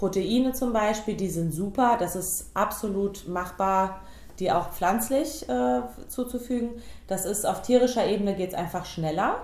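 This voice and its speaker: A woman with a medium pitch and lively intonation speaks at a fairly slow pace, with audible room echo around her. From Hesse, Germany (Biedenkopf area). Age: 30s. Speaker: vegan nutrition consultant. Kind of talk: casual interview.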